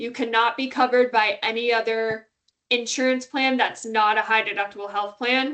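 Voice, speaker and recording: The voice has a bright, sharp tone and monotone, flat intonation. The background is quiet. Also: woman. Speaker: HR benefits presenter. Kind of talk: webinar presentation.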